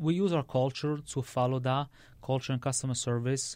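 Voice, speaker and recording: Against a quiet background, a man talks with a strong Italian accent at a fairly high pitch. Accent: heavy Italian-accented English. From Sicily (Palermo), Italy. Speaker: restaurant owner and chef. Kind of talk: podcast interview. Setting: studio.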